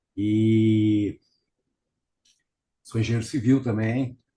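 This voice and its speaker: A man talks at a medium pitch in a dark, mellow tone that is somewhat breathy. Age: 70s. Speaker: family caregiver, retired civil engineer. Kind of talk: interview. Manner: halting.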